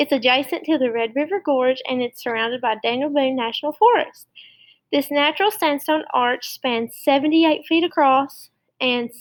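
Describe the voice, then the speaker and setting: A woman with an Appalachian accent talks in a high pitch. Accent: Appalachian Kentucky. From Eastern Kentucky (Clay County, Appalachia). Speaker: teacher. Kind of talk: lesson presentation to schoolchildren. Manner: casual, conversational.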